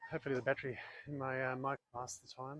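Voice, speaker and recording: In an Australian accent, a man talks at a very fast pace. His pitch is medium. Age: 60s. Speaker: amateur tennis player. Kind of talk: live commentary during a tennis match. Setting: outdoors.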